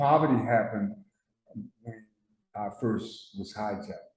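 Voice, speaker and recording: A man's medium-pitched, dark, mellow voice with an American accent, fairly slow pace and audible room echo. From Newark, New Jersey. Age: 70s. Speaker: person in recovery, war veteran. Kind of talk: testimony. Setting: studio. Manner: halting, repetitive.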